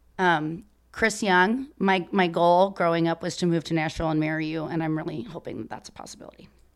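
In a very clean recording with a silent background, a woman with an American accent and a normal speaking voice talks at a fairly quick pace, fairly low in pitch, with ordinary pitch variation and big swings in loudness. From Chicago area, Illinois. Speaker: country music content creator. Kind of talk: casual interview chat.

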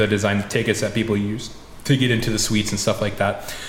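Amid noticeable background noise and audible room echo, someone with an American accent talks at a very fast pace in a monotone, flat intonation. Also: man. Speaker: racing photographer. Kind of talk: casual chat.

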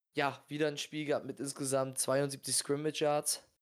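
A man's fairly high voice in a flat monotone, on a very clean recording with a silent background. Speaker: sports podcast co-host. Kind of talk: casual chat.

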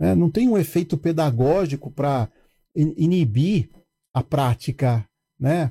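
On a very clean recording with a silent background and a dry, close sound with no echo, a man speaks in a fairly high pitch with a dark, mellow, somewhat breathy tone, very even loudness, and long, frequent pauses. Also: lively intonation, fairly slow pace. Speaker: building manager. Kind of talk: casual chat.

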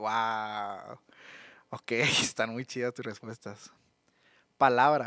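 In a very clean, dry, close recording with no echo and a silent background, a man with a Mexican accent speaks very slowly at a medium pitch. His tone is bright and sharp, his intonation monotone and flat, and he leaves long, frequent pauses. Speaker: youth podcast host. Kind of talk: casual interview.

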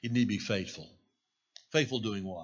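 The voice belongs to a man. There is a somewhat breathy quality to it. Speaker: pastor. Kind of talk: sermon. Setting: church.

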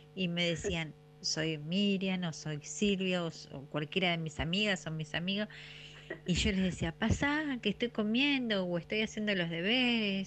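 A woman with an Argentine accent, medium pitch and lively intonation, at a fairly slow pace. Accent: Rioplatense Argentine Spanish. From Argentina, City Bell near La Plata. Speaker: radio listener sending a memory. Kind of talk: recorded voice message, nostalgic anecdote.

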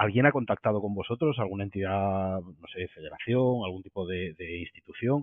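A man speaks at a moderate pace in a fairly low pitch, with ordinary pitch variation and big swings in loudness. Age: 40s. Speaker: podcast host. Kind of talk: interview. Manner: halting.

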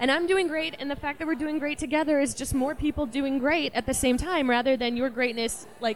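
Noticeable background noise sits behind a woman speaking at a moderate pace and a high pitch. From Appalachia. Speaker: illustrator and letterer. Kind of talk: casual interview chat. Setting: coffee shop.

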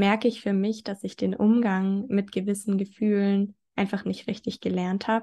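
In a quiet background, a woman speaks fairly slowly with a dark, mellow tone. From southern Germany, near Stuttgart. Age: 20s. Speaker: blogger and podcaster on eating disorder recovery. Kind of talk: interview conversation.

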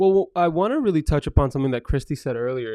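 A man speaks in a fairly high pitch with lively intonation, in an ordinary speaking voice. The sound is dry and close with no echo, over a quiet background. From Framingham, Massachusetts, Brazilian immigrant family. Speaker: restaurant owner. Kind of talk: casual interview.

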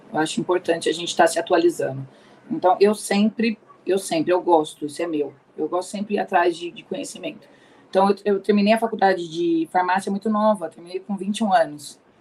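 A normal speaking voice at a fairly quick pace, with big swings in loudness and ordinary pitch variation. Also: woman, medium pitch for a woman. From Ribeirão Preto, São Paulo state, Brazil. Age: 40s. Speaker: pharmacist and pharmaceutical sales rep. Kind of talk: career testimony in interview. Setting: online live stream.

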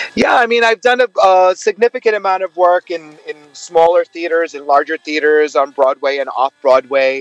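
A man with a New York accent speaks in a high voice with lively intonation, at a moderate pace and with hardly any pauses. The sound is dry and close, with no echo. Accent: New York American English. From US Northeast, Brooklyn, New York. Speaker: actor and singer. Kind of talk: interview.

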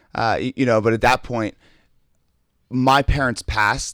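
In a very clean recording with a silent background, a man with a plain, everyday voice speaks at a moderate pace with fairly even intonation. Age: 30s. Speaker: motivational speaker and coach. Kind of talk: casual interview chat.

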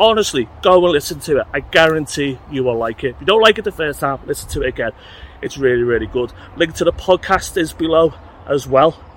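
Talking fairly quickly with lively intonation, a man with a fairly high pitch is heard over noticeable background noise. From England. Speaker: music podcast host. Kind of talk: casual vlog monologue. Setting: outdoors walking. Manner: rambling, conversational.

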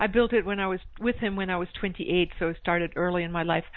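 A woman is speaking. She has an American accent. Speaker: author and speaker. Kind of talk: casual interview chat. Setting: phone call.

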